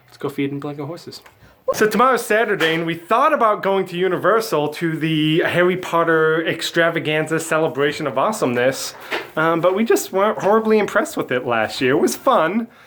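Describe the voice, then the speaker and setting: With lively intonation and big swings in loudness, a man talks fairly quickly at a high pitch over noticeable background noise. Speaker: vlogger. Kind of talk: casual chat.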